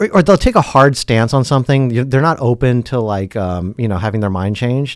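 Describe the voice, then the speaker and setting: Talking fairly quickly with hardly any pauses, a man with a Californian accent uses lively intonation. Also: medium pitch for a man. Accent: California. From California, San Francisco Bay Area. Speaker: dating show guest. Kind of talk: casual chat.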